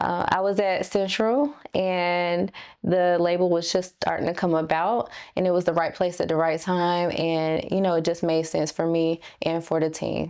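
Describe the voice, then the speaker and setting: Against a quiet background, a speaker with a North Carolina accent talks at a moderate pace, with fairly even intonation and very even loudness. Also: woman, fairly low pitch for a woman. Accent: Southern US (North Carolina). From North Carolina, US South. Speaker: singer and songwriter. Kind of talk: interview.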